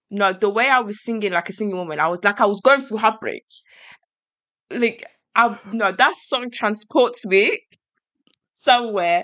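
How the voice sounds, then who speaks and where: A woman speaks in an animated, bright and sharp tone at a fairly high pitch, with ordinary pitch variation. Her pace is moderate, broken by long, frequent pauses, against a quiet background. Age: 20s. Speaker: podcast host. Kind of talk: casual chat.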